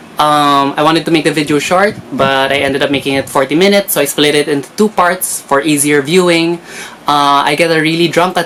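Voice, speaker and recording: Moderate pace over noticeable background noise. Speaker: K-drama reviewer. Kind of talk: casual talk to camera, review. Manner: code-switching Taglish.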